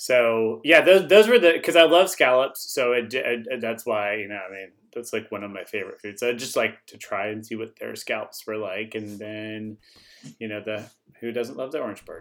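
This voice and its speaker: This man has an unremarkable speaking voice, medium in pitch with ordinary pitch variation, at a moderate pace. His loudness swings widely on a very clean recording with a silent background. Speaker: co-host. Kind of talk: casual family chat.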